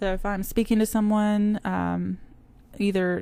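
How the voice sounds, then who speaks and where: The tone is dark and mellow. The recording is very clean, with a silent background. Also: woman. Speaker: teacher. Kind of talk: recorded lecture presentation.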